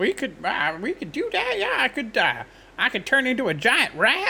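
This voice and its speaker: The speaker uses a put-on character voice. Clear background noise runs underneath. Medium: actual play. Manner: casual.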